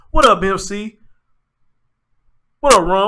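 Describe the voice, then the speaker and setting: With a raised, projected voice, a man speaks at a high pitch and moderate pace, his tone bright and sharp and his pitch varying in an ordinary way. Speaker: live-stream commentary host. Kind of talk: live-stream commentary. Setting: live stream. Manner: emotional, animated.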